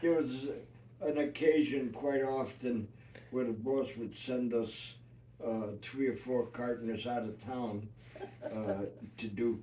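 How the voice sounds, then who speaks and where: A man with a New York accent talks at a very slow pace. His intonation stays fairly even, with long, frequent pauses. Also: medium pitch for a man. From New York City. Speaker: retired union carpenter. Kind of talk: family interview storytelling. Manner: hesitant, many filler words.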